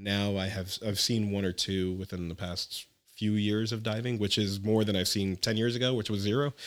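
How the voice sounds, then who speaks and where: A man with a normal speaking voice, fairly low pitch and fairly even intonation, on a very clean recording with a silent background. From New Jersey, Elizabeth. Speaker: scuba instructor. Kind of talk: casual interview.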